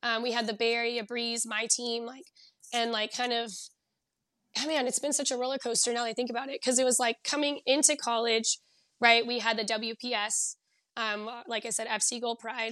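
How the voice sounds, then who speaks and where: A woman's bright, sharp tone at a fairly high pitch, monotone and flat, at a fairly quick pace. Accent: American. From Southern California. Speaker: physical performance coach and former soccer player. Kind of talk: interview.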